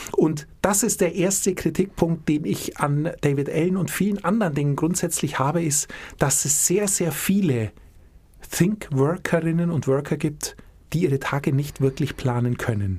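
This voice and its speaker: Very deep and low, a woman's somewhat breathy voice has a dark, mellow tone, lively intonation, a moderate pace and very even loudness. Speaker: podcast co-host. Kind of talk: casual chat.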